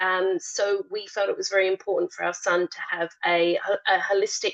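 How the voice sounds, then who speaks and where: A woman speaks with an Australian accent and a fairly high pitch. Her intonation is lively and her pace fairly slow. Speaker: parent. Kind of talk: panel discussion. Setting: online webinar. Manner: hesitant, many fillers.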